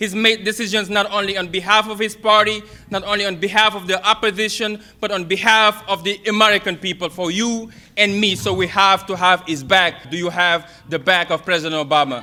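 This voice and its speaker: A man with a Senegalese accent speaks in a raised, projected voice, high-pitched and fairly quick. Noticeable background noise runs underneath. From Senegal (Kaolack). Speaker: political youth organizer. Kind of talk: campaign speech. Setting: stage with audience. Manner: animated.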